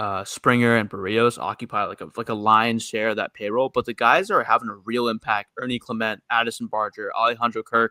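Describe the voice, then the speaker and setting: With a New York accent, a man talks at a fairly quick pace in a bright, sharp tone with fairly even intonation and hardly any pauses, on a very clean recording with a silent background and a dry, close sound with no echo. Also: medium pitch for a man. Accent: New York American. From New York City. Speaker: baseball podcast co-host. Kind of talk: casual chat.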